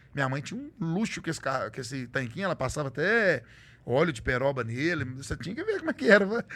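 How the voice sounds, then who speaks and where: The pace is very fast. Pitch swings very widely throughout. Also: man. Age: middle-aged. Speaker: truck driver and social media content creator. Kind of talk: casual interview chat.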